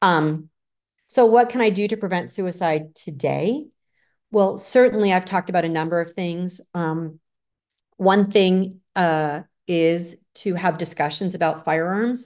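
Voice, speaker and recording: A plain, everyday voice in an American accent at a fairly slow pace, with ordinary pitch variation and a quiet background. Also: woman, medium pitch for a woman. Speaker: clinical researcher, psychologist. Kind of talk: lecture.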